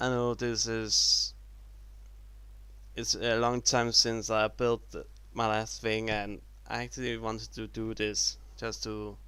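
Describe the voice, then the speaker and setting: Pausing long and often, a man gets his words out at a very slow pace. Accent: non-native. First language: not English. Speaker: YouTuber showing Lego builds. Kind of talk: casual video commentary. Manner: halting.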